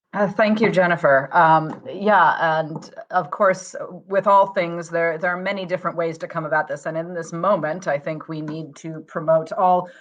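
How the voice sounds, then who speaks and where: Over noticeable background noise, a woman with an American accent and a fairly low pitch speaks at a moderate pace with fairly even intonation and hardly any pauses. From United States. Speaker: community economic development practitioner. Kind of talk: panel discussion. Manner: halting, many fillers.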